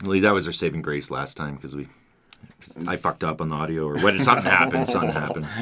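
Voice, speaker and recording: Over noticeable background noise, a man with a very deep, low voice talks very fast with ordinary pitch variation. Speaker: podcast co-host. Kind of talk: casual chat. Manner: stutters sometimes, loses train of thought.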